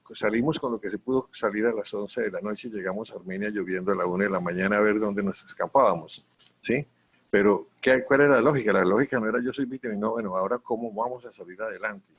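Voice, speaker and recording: Here a man talks at a very fast pace. His voice is fairly low, with ordinary pitch variation. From Colombia, Quindío region. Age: 70s. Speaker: civil society leader, honorary member of NGO confederation. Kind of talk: virtual conference talk. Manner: halting, many restarts and repetitions.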